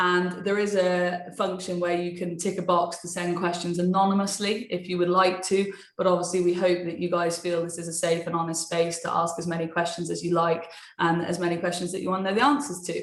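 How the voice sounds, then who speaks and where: A woman with a British accent speaks fairly quickly in a fairly low pitch, with monotone, flat intonation and hardly any pauses. Room echo is audible, and there is noticeable background noise. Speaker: sports TV presenter and webinar moderator. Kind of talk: webinar moderation. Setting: online webinar. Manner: informal, chatty.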